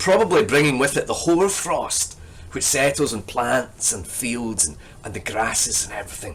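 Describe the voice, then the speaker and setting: Pitch swings very widely here. The speaker has a Scottish accent. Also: man. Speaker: poetry lecturer. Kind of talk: lecture with poetry reading.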